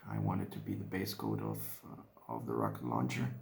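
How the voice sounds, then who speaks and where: Audible room echo surrounds a man speaking with a Spanish accent. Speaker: hobbyist miniature painter. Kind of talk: casual vlog narration while painting. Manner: halting, many fillers and repeats.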